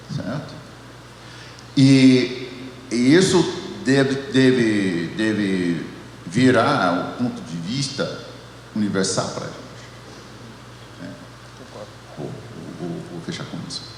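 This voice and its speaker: Amid noticeable background noise and audible room echo, a man with an American accent speaks very slowly at a medium pitch, with very wide pitch swings, big swings in loudness and long, frequent pauses. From United States. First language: English (speaking Portuguese). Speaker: theology professor. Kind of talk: panel discussion. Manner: halting, many repetitions.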